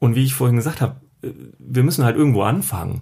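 This man's voice sits at a medium pitch. He speaks at a moderate pace. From Düsseldorf, Germany. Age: 30s. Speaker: day trader. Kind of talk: casual interview. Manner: hesitant, many fillers.

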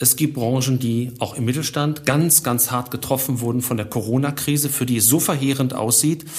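A somewhat breathy man at a moderate pace. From Germany, Ruhr area. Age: 50s. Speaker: finance professor. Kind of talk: interview.

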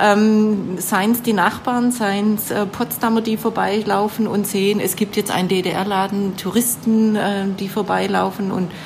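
A woman with a Swabian accent speaks at medium pitch and a fairly slow pace in a monotone, flat way, with noticeable background noise. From Baden-Württemberg, Swabia. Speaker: shop owner. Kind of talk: interview. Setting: in a shop.

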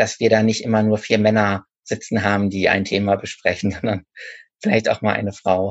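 A man with an ordinary speaking voice talks at medium pitch and moderate pace. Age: 30s. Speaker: author and bookseller. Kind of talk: casual interview.

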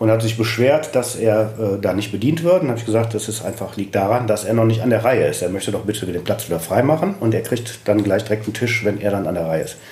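Noticeable background noise accompanies very fast speech with ordinary pitch variation. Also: man. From Düsseldorf, Germany. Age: 50s. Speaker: restaurant owner and chef. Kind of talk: interview.

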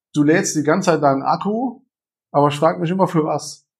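With ordinary variation in pitch, the voice comes across somewhat breathy. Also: man. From Germany, Saarland. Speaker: entrepreneur and coach. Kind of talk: casual interview. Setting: coworking space.

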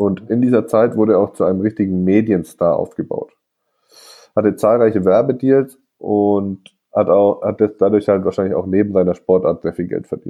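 A man with a plain, everyday voice speaks at a moderate pace, fairly low in pitch, with fairly even intonation. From northern Germany. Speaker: podcast host. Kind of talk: casual chat. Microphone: recorded on phones, scratchy audio.

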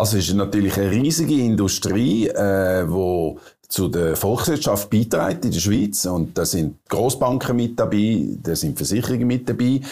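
With a Swiss accent, a man speaks at a moderate pace with hardly any pauses, using a fairly low pitch, a dark, mellow tone, lively intonation, and very even loudness. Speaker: interviewer. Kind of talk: interview.

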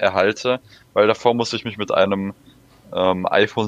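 Using an unremarkable speaking voice, a man talks at a moderate pace with fairly even intonation. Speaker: podcast co-host. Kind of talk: casual chat.

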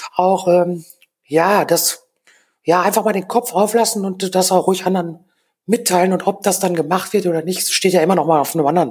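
The speech moves at a fairly quick pace. Intonation stays fairly even. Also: woman, medium pitch for a woman. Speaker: freelance designer and DJ. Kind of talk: casual chat.

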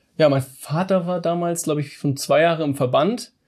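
Fairly high male voice against a quiet background. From northern Germany, Hamburg. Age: 30s. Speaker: business owner. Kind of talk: interview. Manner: halting, many fillers.

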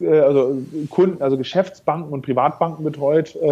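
Ordinary pitch variation marks a voice dark and mellow in tone. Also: man. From northern Germany, North Sea island. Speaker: fintech founder and CEO. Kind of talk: interview.

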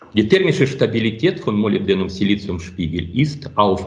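The man's voice is somewhat breathy and fairly low in pitch. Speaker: optics researcher. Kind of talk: interview. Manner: halting.

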